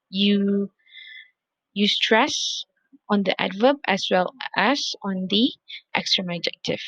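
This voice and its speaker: A woman speaks with a non-native accent at medium pitch and ordinary pitch variation, in a dry, close sound with no echo. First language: not English. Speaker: English lecturer. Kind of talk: recorded video lecture. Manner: repetitive, with many fillers.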